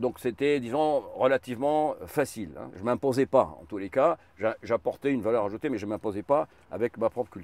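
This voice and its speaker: Lively intonation and big swings in loudness at a fairly quick pace, with a dry, close sound, no echo, and a very clean recording over a silent background. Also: man, medium pitch for a man. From Egypt. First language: Arabic (speaking French). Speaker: martial arts teacher and former executive. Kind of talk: interview in a car. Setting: in a car.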